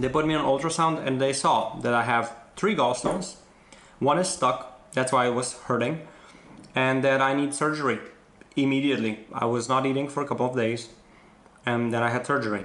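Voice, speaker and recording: The speaker moves at a fairly quick pace, keeping the loudness very even throughout. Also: man, ordinary pitch variation. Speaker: vlogger. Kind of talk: casual vlog chat. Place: home room. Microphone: phone near.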